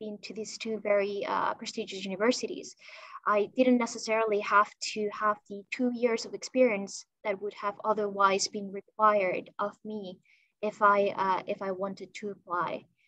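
A woman's voice sounds bright and sharp, rising and falling a lot in loudness. The sound is dry with no echo. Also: quiet background. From Spain (Barcelona). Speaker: policy manager at business chamber. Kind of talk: panel discussion on video call. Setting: video call. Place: office. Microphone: video call.

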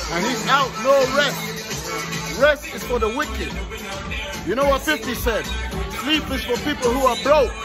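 A fairly slow-talking man over background music. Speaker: travel vlogger. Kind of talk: casual vlog chat. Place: bar. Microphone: phone near.

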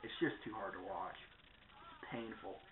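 Light background noise and audible room echo surround a man as he talks. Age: 20s. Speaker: vlogger. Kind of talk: casual vlog monologue. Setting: at home in front of a camera. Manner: rambling, full of fillers. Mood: personal, reflective. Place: home room. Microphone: webcam.

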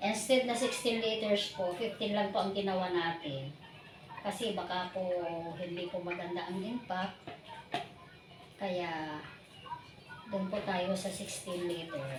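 Over noticeable background noise and audible room echo, a woman at medium pitch speaks at a very slow pace, with long, frequent pauses. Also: ordinary pitch variation. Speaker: vlogger. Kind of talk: tutorial. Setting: outdoors. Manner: halting.

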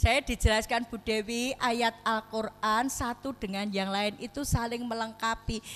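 At a fairly slow pace, a woman talks in a fairly high-pitched voice. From Lombok, Indonesia (born in Solo); Lombok, Indonesia. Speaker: Islamic preacher. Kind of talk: sermon. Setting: mosque gathering. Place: hall. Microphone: handheld.

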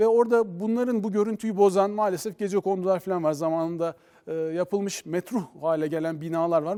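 A man's high-pitched voice with a dark, mellow tone, a fairly quick pace and ordinary pitch variation. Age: 40s. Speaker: mayor. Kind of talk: TV interview.

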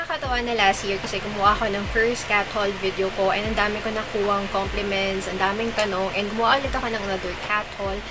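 A woman talks at a very fast pace with hardly any pauses. Loud background noise is present. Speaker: pet vlogger. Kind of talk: casual vlog chat.

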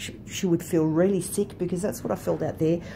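A woman with a fairly low pitch and a dark, mellow tone talks over light background noise. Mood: calm, reflective. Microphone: phone near.

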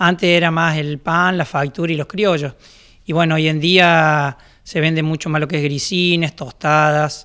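With a bright, sharp tone, a man speaks at a fairly slow pace in a monotone, flat intonation. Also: quiet background. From Argentina, Córdoba province. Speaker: baker. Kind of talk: interview. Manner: hesitant. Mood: calm, reflective. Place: workshop. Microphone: handheld.

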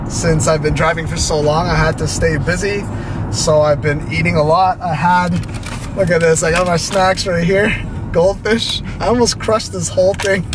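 A man's voice, dry with no echo, amid noticeable background noise. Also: ordinary pitch variation, moderate pace. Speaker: vlogger. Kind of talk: casual vlog chat. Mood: relaxed, upbeat. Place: car.

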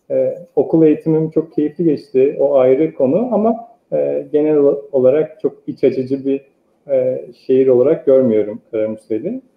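Room echo can be heard. A man speaks fairly slowly. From eastern Turkey (Sarıkamış, Kars). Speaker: architect. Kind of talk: interview. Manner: hesitant, many filler sounds. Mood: calm, reflective. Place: home room. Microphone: earbuds.

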